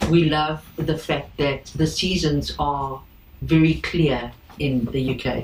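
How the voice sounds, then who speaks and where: With a South African accent, a woman speaks at a very deep, low pitch and ordinary pitch variation. Noticeable background noise is present. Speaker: boat owner. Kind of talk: interview.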